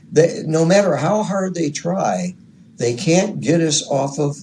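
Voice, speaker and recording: This man's voice carries vocal fry and a dark, mellow tone. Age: 70s. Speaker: radio hobbyist interviewee. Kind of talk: interview.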